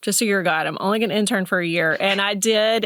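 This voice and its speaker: Talking very fast in a Southern US accent, a woman uses ordinary pitch variation. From US South, Mississippi. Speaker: counselor and pastor's wife. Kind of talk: podcast interview.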